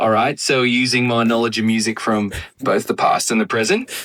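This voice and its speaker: A man does a raspy, put-on character voice in an Australian accent, at a medium pitch. His intonation is monotone and flat, and his pace is fairly quick. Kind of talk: casual, conversational.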